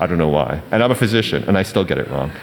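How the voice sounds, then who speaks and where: A fairly quick pace runs over noticeable background noise. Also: man. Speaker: physician and health services provider. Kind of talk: panel presentation. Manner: halting, many fillers.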